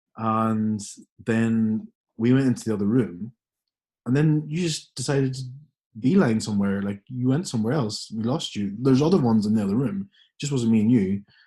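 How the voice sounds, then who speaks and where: A man speaks at a medium pitch with ordinary pitch variation. His tone is dark and mellow. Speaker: podcast co-host. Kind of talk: casual podcast conversation.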